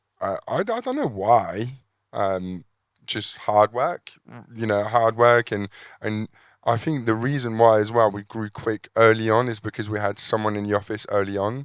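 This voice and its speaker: Dry, close sound with no echo and a very clean recording with a silent background. A man with a French accent talks at medium pitch and a moderate pace. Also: fairly even intonation. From France. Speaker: landscaper, business owner. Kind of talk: panel interview. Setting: event with live audience. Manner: halting, repeats words.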